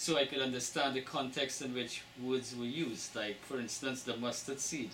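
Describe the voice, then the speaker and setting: There is noticeable background noise behind this recording. A man speaks at a medium pitch in a Trinidadian accent. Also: fairly even intonation, moderate pace. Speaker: book author. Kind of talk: interview.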